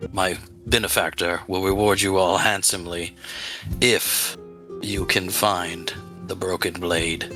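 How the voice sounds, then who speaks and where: In a put-on character voice, a man speaks with a very deep, low pitch at a fairly slow pace, leaving long, frequent pauses over clear background music. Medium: actual play. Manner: measured, businesslike.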